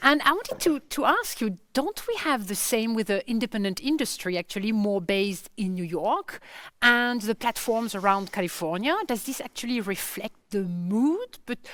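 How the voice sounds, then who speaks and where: A woman with a French accent speaks at a moderate pace with hardly any pauses. Her fairly high voice moves with lively intonation. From France. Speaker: conference curator. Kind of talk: panel interview. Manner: halting.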